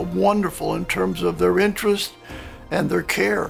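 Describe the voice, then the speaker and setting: Music plays in the background as a man speaks. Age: 70s. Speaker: dental implant patient. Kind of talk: patient testimonial.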